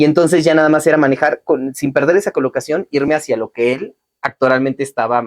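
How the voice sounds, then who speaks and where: Here a man talks at a very fast pace. The sound is dry and close, with no echo. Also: fairly high pitch for a man, ordinary pitch variation. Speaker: voice actor. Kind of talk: interview.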